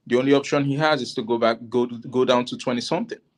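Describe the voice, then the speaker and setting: This man has an African accent and a medium pitch. He talks at a fairly quick pace. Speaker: panel guest. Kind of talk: casual discussion. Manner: halting.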